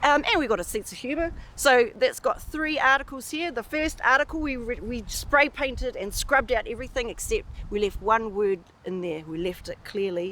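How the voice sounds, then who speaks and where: A woman with a New Zealand accent talks at a moderate pace in a high pitch with very wide pitch swings. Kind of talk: interview answer.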